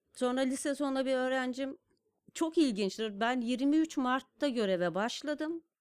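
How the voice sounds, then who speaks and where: Ordinary pitch variation marks this delivery, which proceeds fairly slowly. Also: woman, high pitch for a woman. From Turkey, Kars. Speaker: designer and stamp artist. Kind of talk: casual interview storytelling. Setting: studio.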